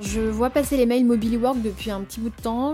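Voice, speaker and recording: A woman's fairly high, somewhat breathy voice with a dark, mellow tone, fairly even intonation and a fairly quick pace. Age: 30s. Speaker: audit firm manager. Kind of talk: personal testimony. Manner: casual, hesitant with fillers.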